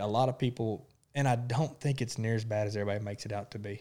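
Against a silent background in a very clean recording, a man with an Arkansas accent speaks at a very fast pace. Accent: Southern US (Arkansas). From South Arkansas. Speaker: podcast co-host. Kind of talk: casual chat.

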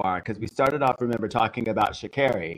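Lively intonation marks this man's very fast speech. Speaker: co-host. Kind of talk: casual livestream cooking show chat.

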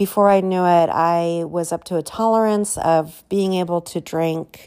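Her fairly low voice stays monotone and flat as the woman speaks at a fairly slow pace. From Southern California. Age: 40s. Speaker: podcast host. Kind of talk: personal testimony. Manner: casual, many filler words.

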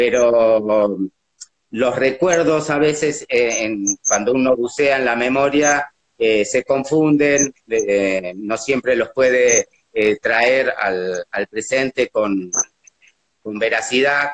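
Medium-pitched man at a very slow pace, ordinary pitch variation, dry, close sound with no echo. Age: 60s. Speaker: documentary subject, brother of a disappeared person. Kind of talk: testimony. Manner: halting.

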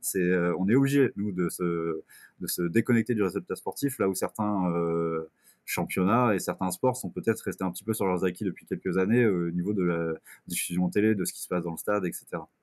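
A man speaks in a plain, everyday voice at a fairly quick pace with ordinary pitch variation. The recording is very clean with a silent background, and the sound is dry and close with no echo. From Brittany, France. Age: 20s. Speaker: sports club communications officer. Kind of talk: casual interview.

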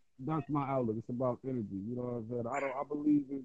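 A man talks with an unremarkable speaking voice at a medium pitch. His intonation is fairly even. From US Midwest, Ohio. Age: 30s. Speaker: street interviewee. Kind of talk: casual street interview.

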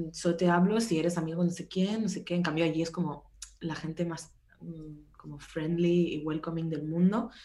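Moderate pace and fairly even intonation, with audible room echo. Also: woman. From Spain, Barcelona. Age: 20s. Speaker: music tour photographer. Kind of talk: casual chat.

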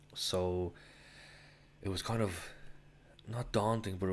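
Someone speaks with a Dublin accent in a very clean recording with a silent background. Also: man. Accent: Dublin Irish. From Ireland, Dublin. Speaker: travel podcaster. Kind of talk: solo travel storytelling. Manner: casual, rambling with fillers.

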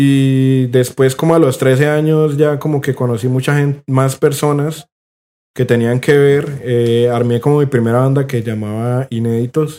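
Speech comes at a fairly slow pace with a Cali accent and fairly even intonation. The tone is dark and mellow. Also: man, medium pitch for a man. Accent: Colombian Caleño Spanish. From Colombia, Cali. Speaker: punk guitarist. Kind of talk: casual chat.

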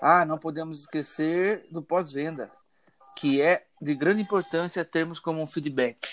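A man with fairly high pitch speaks at a fairly slow pace, with ordinary pitch variation, in a normal speaking voice. The sound is dry and close, with no echo. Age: 20s. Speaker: engineering student. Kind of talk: student class presentation.

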